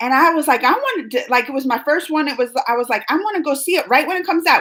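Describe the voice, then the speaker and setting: Her high-pitched voice is bright and sharp, animated in tone, with lively intonation as this woman talks at a very fast pace. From US South, New Orleans, later moved north. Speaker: YouTube reaction host. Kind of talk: live stream chat reading viewer comments. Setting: live stream.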